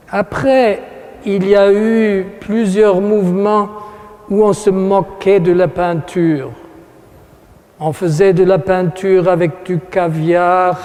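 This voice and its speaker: Speaking with a German accent at a high pitch, a man goes at a very slow pace with long, frequent pauses and fairly even intonation, noticeable background noise behind him. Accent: German accent in French, imperfect French. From Germany, Aachen. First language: German (speaking French). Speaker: art critic speaking at an exhibition opening. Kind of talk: formal speech to an audience. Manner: halting, with hesitations and self-corrections.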